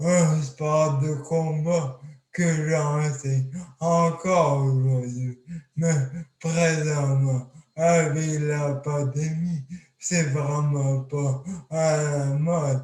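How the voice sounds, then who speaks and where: A man at a very slow pace, monotone and flat. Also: fairly high pitch for a man. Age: 20s. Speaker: accident survivor speaker. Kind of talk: testimony talk. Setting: video call. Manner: speech hard to understand.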